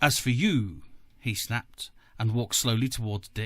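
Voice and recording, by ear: Text is read out loud in a natural voice.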